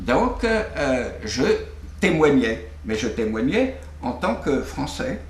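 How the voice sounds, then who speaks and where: A man speaks at a very slow pace. Room echo can be heard. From Brittany, France. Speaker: filmmaker. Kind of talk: interview. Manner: halting, many hesitations.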